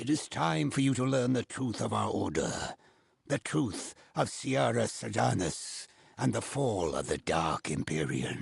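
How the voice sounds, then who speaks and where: A man's put-on character voice, solemn in tone, fairly low in pitch, with very wide pitch swings at a moderate pace. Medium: video game. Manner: formal, solemn.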